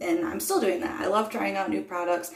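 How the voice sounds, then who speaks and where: A woman speaks in a relaxed tone, with audible room echo around her voice. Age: 30s. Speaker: beauty vlogger. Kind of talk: get-ready-with-me tutorial. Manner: relaxed, casual with many fillers.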